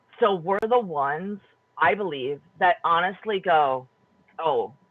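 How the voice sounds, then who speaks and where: Someone speaks at a very slow pace with a Wisconsin accent. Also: long, frequent pauses. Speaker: panelist in community round table on homelessness. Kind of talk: round table discussion.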